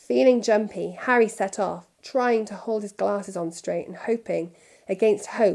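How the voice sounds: This is a natural reading voice. The text is read that way from start to finish.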